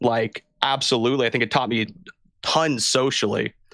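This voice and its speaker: In a very clean recording with a silent background, a man with a medium pitch and a plain, everyday voice speaks at a moderate pace with fairly even intonation. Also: dry, close sound with no echo. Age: 20s. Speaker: podcast guest. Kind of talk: casual chat.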